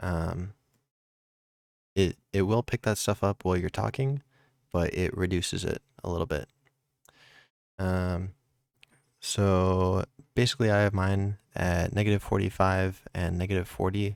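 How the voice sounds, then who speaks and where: A man speaks with a very deep, low pitch and fairly even intonation, leaving long, frequent pauses. The recording is very clean with a silent background and a dry, close sound with no echo. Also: fairly slow pace. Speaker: streaming tech youtuber. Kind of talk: tutorial. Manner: casual with many fillers.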